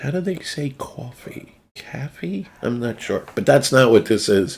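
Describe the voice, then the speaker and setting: Speaking with an American accent, a man at medium pitch sounds somewhat breathy, moving at a fairly slow pace with lively intonation. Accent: New Jersey, usually held back. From New Jersey. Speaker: video game streamer. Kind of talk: casual chat.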